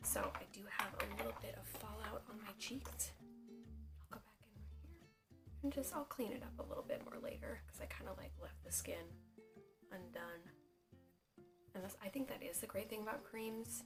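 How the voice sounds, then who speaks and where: Over music in the background, a woman whispers quietly with long, frequent pauses and big swings in loudness. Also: moderate pace. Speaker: makeup artist and beauty vlogger. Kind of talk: casual whispered makeup tutorial to camera. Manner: whispered, hushed.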